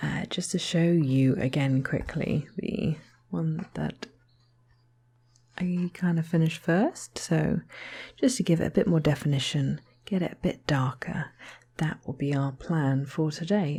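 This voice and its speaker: A soft-spoken woman with a very deep, low pitch talks at a fairly slow pace in a somewhat breathy, dark, mellow tone, with ordinary pitch variation and long, frequent pauses. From Southern England. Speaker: artist. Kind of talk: ASMR art tutorial talk to camera.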